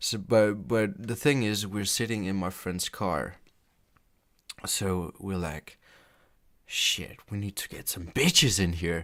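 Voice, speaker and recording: A man with a non-native accent speaks at a very slow pace in a fairly low voice with ordinary pitch variation, leaving long, frequent pauses. His loudness swings a lot, on a very clean recording with a silent background. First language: not English. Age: 20s. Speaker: gaming YouTuber. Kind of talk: story time. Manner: halting.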